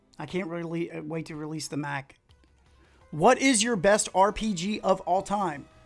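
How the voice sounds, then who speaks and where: With music in the background, a man's high-pitched voice shows ordinary pitch variation and big swings in loudness. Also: moderate pace. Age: middle-aged. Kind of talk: casual livestream talk.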